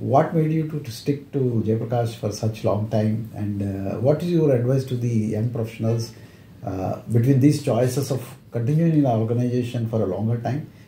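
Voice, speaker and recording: A man in an Indian accent, dark and mellow in tone and somewhat breathy, at a moderate pace with audible room echo. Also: medium pitch for a man, ordinary pitch variation. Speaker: interviewer, retired company secretary. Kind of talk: interview. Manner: hesitant with many fillers.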